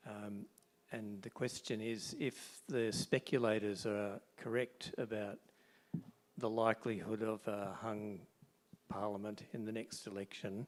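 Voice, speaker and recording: A man's soft-spoken, fairly low voice, monotone and flat, at a fairly slow pace. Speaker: audience member. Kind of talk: audience question.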